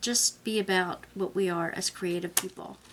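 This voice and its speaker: At a moderate pace, a woman speaks at medium pitch in an unremarkable speaking voice. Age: 60s. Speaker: craft and art journaling vlogger. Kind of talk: casual video monologue. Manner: conversational, with filler pauses.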